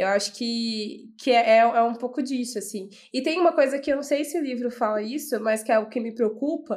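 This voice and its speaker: This woman speaks at a high pitch and a moderate pace, with ordinary pitch variation and hardly any pauses. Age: young. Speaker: entrepreneur. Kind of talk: casual chat.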